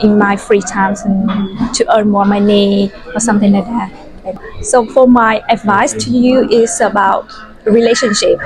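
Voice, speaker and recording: With music in the background, a woman speaks at a fairly slow pace with a Vietnamese accent and fairly even intonation. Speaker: university student. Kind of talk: podcast interview. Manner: halting.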